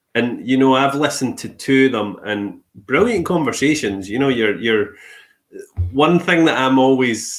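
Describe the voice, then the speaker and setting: At a moderate pace, a man talks with a Scottish accent. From Scotland. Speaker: podcast host. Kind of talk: casual interview chat.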